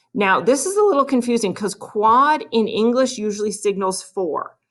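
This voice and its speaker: A woman's unremarkable speaking voice, moderately paced with lively intonation, on a very clean recording with a silent background. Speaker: math teacher. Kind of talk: video lesson.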